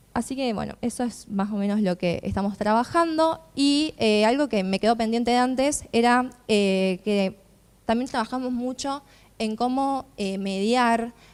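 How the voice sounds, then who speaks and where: On a very clean recording with a silent background, a woman with an unremarkable speaking voice talks at a fairly slow pace and a fairly high pitch, with ordinary pitch variation. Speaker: youth cooperative representative. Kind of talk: panel talk.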